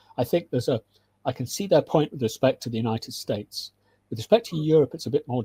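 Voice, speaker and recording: Speaking very fast, a man with a British accent has a medium pitch and a dark, mellow, somewhat breathy tone. The sound is dry and close, with no echo. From UK. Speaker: military analyst and lecturer. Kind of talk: interview. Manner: halting, many restarts.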